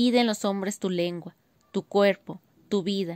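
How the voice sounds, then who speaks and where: An unremarkable speaking voice, a woman with a medium pitch and ordinary pitch variation talks at a fairly slow pace in a very clean recording with a silent background and a dry, close sound with no echo. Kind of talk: poetry reading, spoken word.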